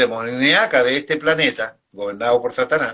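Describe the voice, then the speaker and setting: Speech at a moderate pace with ordinary pitch variation. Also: man. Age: 60s. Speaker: pastor. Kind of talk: sermon. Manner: halting.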